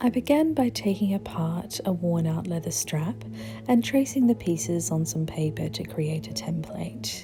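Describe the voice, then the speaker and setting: Soft-spoken, soothing delivery at a moderate pace, with music in the background. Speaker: hobby maker. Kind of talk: ASMR craft tutorial narration. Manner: softly spoken, soothing.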